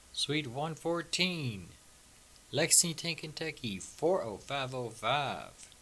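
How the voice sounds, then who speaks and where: A man speaks at a very slow pace with vocal fry. His tone is bright and sharp. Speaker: podcast host and tarot reader. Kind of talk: casual chat.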